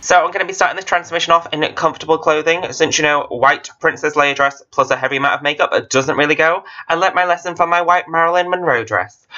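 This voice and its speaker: A man with a British accent and a high pitch speaks very fast with fairly even intonation and hardly any pauses. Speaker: drag makeup youtuber. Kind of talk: makeup tutorial voice-over. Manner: casual.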